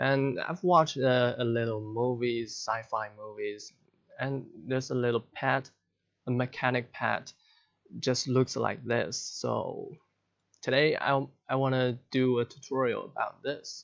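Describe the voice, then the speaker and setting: With a non-native accent, a man delivers his words fairly slowly. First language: not English. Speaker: software tutorial creator. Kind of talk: tutorial. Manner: halting.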